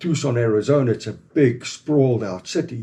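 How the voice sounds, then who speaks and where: Speaking at a moderate pace with a South African accent, the man has a dark, mellow tone, a somewhat breathy quality and ordinary pitch variation. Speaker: former game ranger, company founder. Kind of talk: casual interview.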